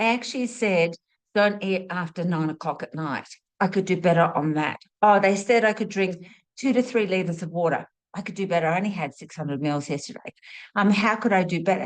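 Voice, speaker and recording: A woman at medium pitch with ordinary pitch variation, speaking at a fairly quick pace against a quiet background. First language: not English (English her third language). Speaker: spiritual teacher, medical intuitive. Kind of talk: monologue teaching talk. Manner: casual, chatty with fillers.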